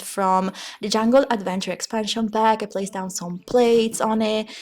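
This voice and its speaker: A woman with a fairly high voice speaks at a moderate pace with fairly even intonation over noticeable background noise. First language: Italian. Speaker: gaming YouTuber. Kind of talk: voiceover commentary. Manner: halting.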